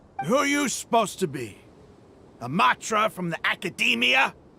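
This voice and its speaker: In a put-on character voice, a man speaks at high pitch with a raised, projected delivery and very wide pitch swings. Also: moderate pace. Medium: video game. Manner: sneering, taunting.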